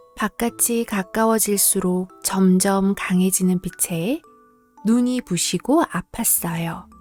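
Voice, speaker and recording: A soft-spoken woman talks at a very slow pace in a gentle tone, medium in pitch with ordinary pitch variation. Music plays in the background, and the sound is dry and close with no echo. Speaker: storybook reader. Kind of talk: bedtime story reading. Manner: soft, gentle.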